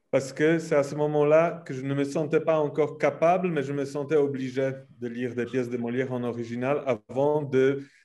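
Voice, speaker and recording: In a Polish accent, a man speaks at a fairly slow pace. His pitch is fairly high and his intonation fairly even. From Poland. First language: Polish (speaking French). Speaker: theatre centre director. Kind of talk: panel discussion.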